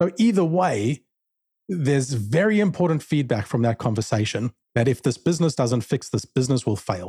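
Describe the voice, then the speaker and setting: Somewhat breathy, with a dark, mellow tone and lively intonation, this voice in a South African accent moves at a moderate pace in a dry, close sound with no echo and a very clean recording with a silent background. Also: man. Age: 40s. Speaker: sales business owner. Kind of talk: interview.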